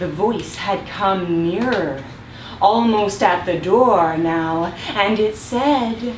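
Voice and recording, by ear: Text is read out loud. It comes across in a natural voice.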